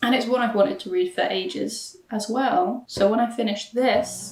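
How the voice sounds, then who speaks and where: A woman talks at a fairly high pitch. Music runs in the background. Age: 20s. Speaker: book vlogger. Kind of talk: casual vlog talk. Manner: animated.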